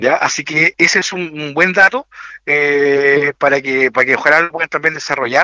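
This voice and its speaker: Bright and sharp in tone, a man with a Chilean accent speaks at a moderate pace and fairly high pitch, the sound dry and close with no echo. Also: ordinary pitch variation. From Chile, Maule region (Linares). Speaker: municipal tourism director. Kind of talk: radio interview. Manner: halting, many repetitions and fillers.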